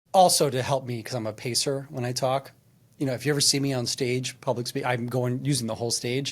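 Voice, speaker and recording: Delivered at a very fast pace with fairly even intonation, the speech comes through on a very clean recording with a silent background. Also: man, medium pitch for a man. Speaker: executive coach and workplace trainer. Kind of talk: casual chat.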